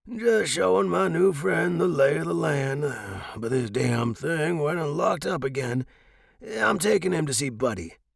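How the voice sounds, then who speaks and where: Putting on a raspy character voice, a man of medium pitch speaks at a moderate pace with very wide pitch swings. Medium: read story. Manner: folksy, warm.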